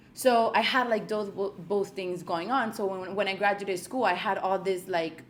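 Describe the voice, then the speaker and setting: Talking at a fairly slow pace, a woman has an ordinary speaking voice. Her medium pitch follows fairly even intonation. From Colombia, moved to US at 8. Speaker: realtor. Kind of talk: interview.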